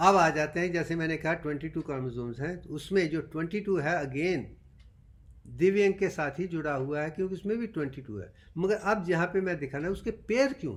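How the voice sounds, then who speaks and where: Here a man talks with a high pitch. His intonation is lively and his pace moderate. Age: 70s. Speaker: doctor and self-styled teacher. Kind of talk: lecture.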